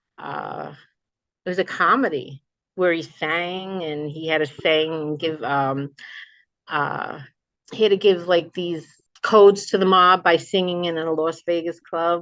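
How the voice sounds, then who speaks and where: With a New Jersey accent, a woman speaks at a fairly slow pace. Her pitch is fairly low, and the background is quiet. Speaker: memoir author. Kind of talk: interview chat. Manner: animated.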